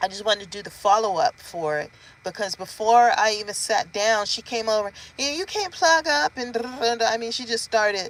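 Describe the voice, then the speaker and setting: A plain, everyday voice comes from a woman at a moderate pace with a fairly high pitch. Her intonation is lively, with big swings in loudness. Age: 50s. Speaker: vlogger. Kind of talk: casual vlog update.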